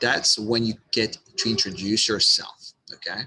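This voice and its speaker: A man's medium-pitched, bright and sharp voice at a fairly slow pace, with a strong non-native accent. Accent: thick non-native. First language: not English. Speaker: online business coach; marketing coach. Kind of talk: tutorial. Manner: halting, repeats words.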